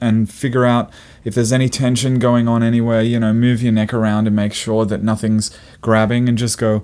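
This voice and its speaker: A man speaks with a plain, everyday voice at a medium pitch and moderate pace. His intonation is fairly even, his loudness is very even, and the recording is very clean with a silent background. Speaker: singer and vocal coach. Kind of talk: tutorial.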